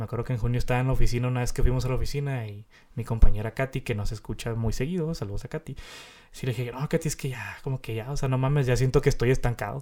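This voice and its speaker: Over a very clean recording with a silent background, a man with a Mexican accent talks at a very fast pace, at medium pitch and with fairly even intonation. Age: 20s. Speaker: podcast host. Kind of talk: casual chat.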